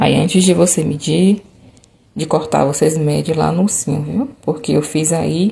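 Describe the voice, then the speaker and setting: Lively intonation at a fairly slow pace, over noticeable background noise. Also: woman. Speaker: craft tutorial maker. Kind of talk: tutorial. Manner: casual, chatty.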